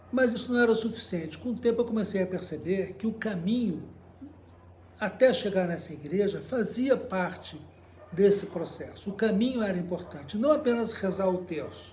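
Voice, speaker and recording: With audible room echo, the speaker moves at a moderate pace and uses ordinary pitch variation. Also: man, high pitch for a man. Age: 70s. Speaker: cycle traveler and journalist. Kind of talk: interview storytelling. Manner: halting, with many fillers.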